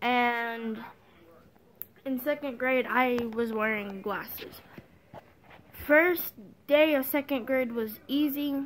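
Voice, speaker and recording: A woman speaks at a high pitch and a very slow pace. Her pitch varies in an ordinary way, broken by long, frequent pauses. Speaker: vlogger. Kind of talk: personal testimony. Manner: halting.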